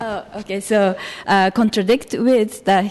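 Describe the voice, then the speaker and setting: A woman with a Japanese accent speaks at a fairly slow pace with ordinary pitch variation. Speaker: activist, public commenter. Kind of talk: public comment at city council meeting. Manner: halting, many fillers.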